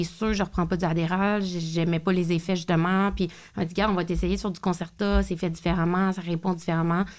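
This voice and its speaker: A woman with a Quebec accent speaks at a moderate pace in a fairly low pitch with monotone, flat intonation, on a very clean recording with a silent background. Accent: Québécois French. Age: 30s. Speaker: podcast host. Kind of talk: casual chat.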